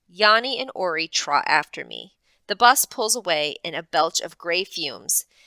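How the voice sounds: Lively intonation runs through a natural reading voice over a quiet background.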